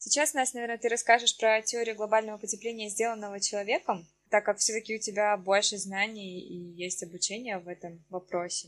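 In a plain, everyday voice, a woman talks at a fairly quick pace and fairly high pitch, with ordinary pitch variation and big swings in loudness. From Russia, Siberia (Achinsk). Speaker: podcast co-host. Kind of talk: casual chat.

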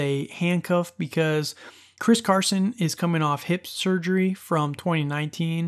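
In an ordinary speaking voice, a man with fairly high pitch talks at a moderate pace with ordinary pitch variation over a quiet background. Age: 30s. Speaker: fantasy football podcast host. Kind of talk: solo podcast monologue. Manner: casual, laughing at times.

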